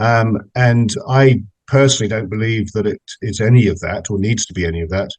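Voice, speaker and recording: A man's fairly low voice with an English accent, fairly even intonation, a fairly quick pace and big swings in loudness. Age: 60s. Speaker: meditation practitioner, businessman. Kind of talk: interview. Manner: hesitant, many fillers and repetitions.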